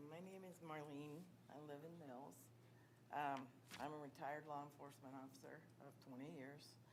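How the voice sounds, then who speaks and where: A woman with a very deep, low pitch talks at a moderate pace with fairly even intonation and long, frequent pauses, and audible room echo surrounds her voice. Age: 60s. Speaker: public commenter, retired police officer. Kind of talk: public comment at school board meeting.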